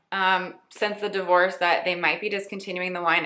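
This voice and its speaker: In an unremarkable speaking voice, a woman talks at a fairly quick pace and medium pitch. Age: 20s. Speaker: beauty and lifestyle blogger. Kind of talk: casual Q&A vlog.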